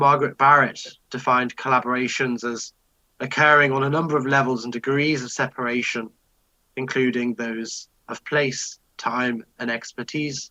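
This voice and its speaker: In a dry, close sound with no echo, a man speaks at a medium pitch and a moderate pace, his tone bright and sharp and his intonation monotone and flat. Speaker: musicologist presenter. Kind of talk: conference talk. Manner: hesitant. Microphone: poor sound quality.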